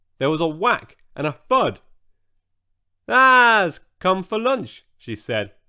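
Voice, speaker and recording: A man speaks very slowly in a raised, projected voice with a bright, sharp tone. His pitch swings very widely on a very clean recording with a silent background. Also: long, frequent pauses. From Britain. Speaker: audiobook narrator. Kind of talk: children's bedtime story narration.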